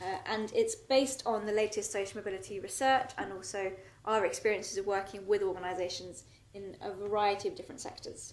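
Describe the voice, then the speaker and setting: A woman with a British accent talks at a fairly quick pace and medium pitch, her intonation fairly even, with audible room echo. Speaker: social mobility researcher. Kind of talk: conference presentation. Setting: stage with audience.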